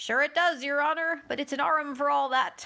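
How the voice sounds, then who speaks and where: Fairly quick delivery in a put-on character voice. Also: woman. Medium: read story. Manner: deferential, says "sure" and "your honor".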